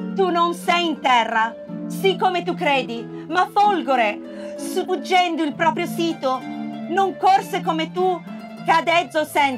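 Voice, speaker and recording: Music plays in the background. Over it, a woman speaks at a very slow pace. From Italy. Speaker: stage actress and theatre director. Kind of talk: poetry reading. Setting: outdoors, public place.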